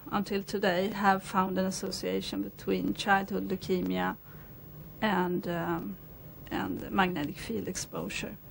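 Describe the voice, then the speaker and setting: A woman talks at a fairly slow pace over light background noise. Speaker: interviewee. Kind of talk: interview answer. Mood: calm, measured. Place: office. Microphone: lapel.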